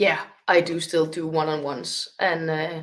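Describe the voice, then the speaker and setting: Speaking in a non-native accent, a woman uses a fairly low pitch. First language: not English. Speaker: spiritual healer and medium. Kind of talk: casual interview chat.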